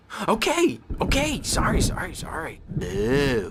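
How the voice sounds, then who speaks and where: A man puts on a character voice at a fairly slow pace. Background noise is clearly heard. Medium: video game.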